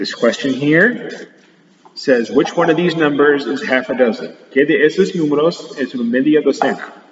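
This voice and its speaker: With lively intonation and a fairly high pitch, a man keeps a moderate pace while noticeable background noise runs underneath. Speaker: teacher. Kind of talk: recorded math lesson for pupils. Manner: switching between English and Spanish.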